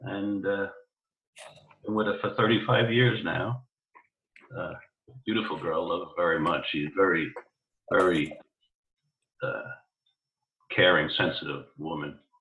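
With a New York accent, a man talks at a fairly slow pace with long, frequent pauses. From New York, the Bronx. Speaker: podcast guest. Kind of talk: casual chat.

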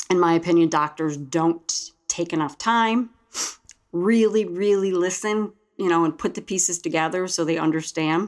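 A woman with an ordinary speaking voice talks at a moderate pace, her fairly low pitch showing ordinary pitch variation and her loudness very even. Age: 50s. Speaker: host's mother, heart patient. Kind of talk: testimony. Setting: studio.

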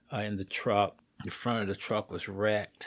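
A man with an American accent speaks in a fairly low pitch on a very clean recording with a silent background. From Indianapolis, US Midwest. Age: 60s. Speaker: Navy veteran. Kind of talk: life-story interview.

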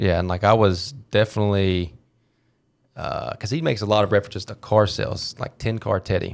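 With an American accent, a man speaks in an unremarkable speaking voice at a fairly low pitch, moving at a fairly quick pace with ordinary pitch variation. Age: 20s. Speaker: insurance agent. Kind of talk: casual chat.

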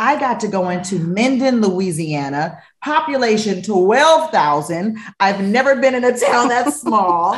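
A woman's fairly high voice with very wide pitch swings, an animated tone, a fairly slow pace and audible room echo. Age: 40s. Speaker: TV host and real estate investor. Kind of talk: interview.

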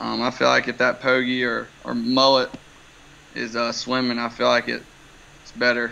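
Long, frequent pauses break up the moderate pace in an American accent. The tone is bright and sharp, with monotone, flat intonation. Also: man, medium pitch for a man. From Wilmington, North Carolina (US South). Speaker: fishing charter captain. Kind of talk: casual interview about fishing.

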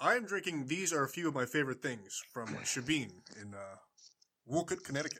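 Bright and sharp in tone, a man with a fairly high pitch talks at a fairly quick pace. His intonation is lively, and his loudness swings widely. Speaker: podcast host. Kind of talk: casual banter on a sports podcast.

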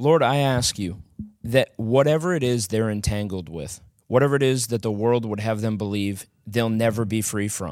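A man talks at medium pitch and a moderate pace. He has an unremarkable speaking voice with ordinary pitch variation. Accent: American. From small-town US. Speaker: former drug addict sharing testimony. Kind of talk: prayer; testimony.

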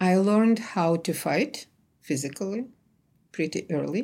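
Her accent is Russian. The woman speaks fairly slowly at medium pitch, with lively intonation. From Ukraine, Kyiv. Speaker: archivist. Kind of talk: interview testimony.

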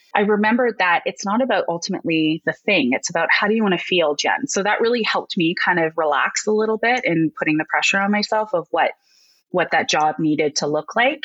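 A woman's medium-pitched voice at a very fast pace, with lively intonation, very even loudness, and a dry, close sound with no echo. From Alberta, Canada (near Red Deer). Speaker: educator at a learning company, former teacher. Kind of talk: casual interview.

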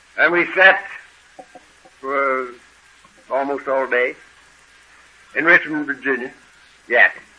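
Against noticeable background noise, a man with a fairly high pitch and ordinary pitch variation speaks at a fairly slow pace, leaving long, frequent pauses. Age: 70s. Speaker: AA speaker. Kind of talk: recovery talk to an audience. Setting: stage with audience.

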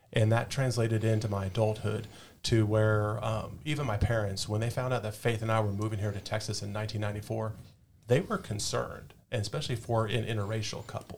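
At a very fast pace, a man with a fairly low pitch speaks in a flat monotone, somewhat breathy. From Southern California, Orange County. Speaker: firefighter and police officer. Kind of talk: podcast interview.

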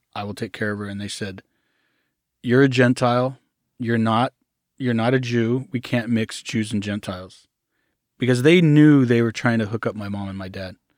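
A man's medium-pitched voice at a moderate pace, with long, frequent pauses, fairly even intonation and big swings in loudness, on a very clean recording with a silent background. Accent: American. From Arkansas, US South. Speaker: cult survivor. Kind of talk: interview, personal story.

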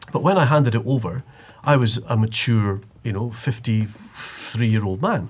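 Somewhat breathy, a man at a medium pitch talks at a moderate pace with ordinary pitch variation. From Scottish Highlands, Inverness. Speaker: TV news broadcaster and author. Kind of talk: casual chat.

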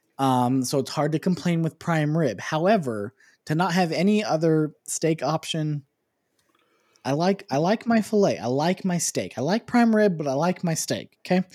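Recorded very cleanly against a silent background, a man with a plain, everyday voice speaks at a fairly high pitch with lively intonation in a dry, close sound with no echo. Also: moderate pace. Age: 20s. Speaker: podcast co-host. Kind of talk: casual chat.

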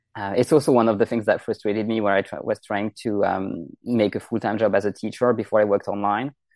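A man talks at a very fast pace with fairly low pitch and a French accent, barely pausing. His intonation stays fairly even, and the sound is dry and close with no echo. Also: quiet background. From France. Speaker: French language coach. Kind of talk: interview. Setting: remote call.

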